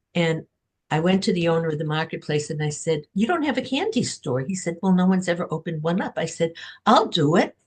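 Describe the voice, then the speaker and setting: Somewhat breathy speech at a very fast pace, with ordinary pitch variation over a quiet background. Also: woman, fairly low pitch for a woman. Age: 70s. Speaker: author. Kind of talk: podcast interview.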